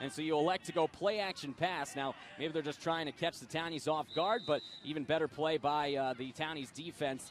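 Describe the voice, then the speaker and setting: With music in the background, a man talks at a fairly quick pace in a fairly high pitch with ordinary pitch variation. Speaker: football color commentator. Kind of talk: live sports color commentary, TV broadcast.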